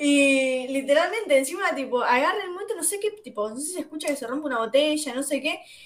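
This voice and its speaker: Lively intonation comes through at a very fast pace over noticeable background noise. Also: woman, high pitch for a woman. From Buenos Aires south zone (Guernica). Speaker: podcast host. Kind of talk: casual chat. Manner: animated.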